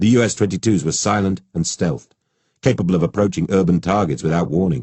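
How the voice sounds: A natural reading voice, with ordinary pitch variation, comes through against a quiet background.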